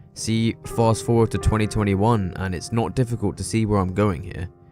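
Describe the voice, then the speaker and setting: Music plays behind a man with a fairly low pitch. He speaks at a fairly quick pace with ordinary pitch variation. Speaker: video essayist. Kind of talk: casual commentary narration.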